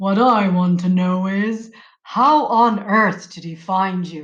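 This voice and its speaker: This is a put-on character voice at a middle pitch. The delivery moves at a fairly slow pace. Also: female-sounding voice. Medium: read story.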